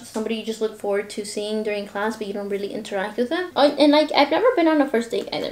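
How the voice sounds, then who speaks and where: A woman speaks over noticeable background noise. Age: young. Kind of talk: casual talk to camera. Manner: chatty, rambling.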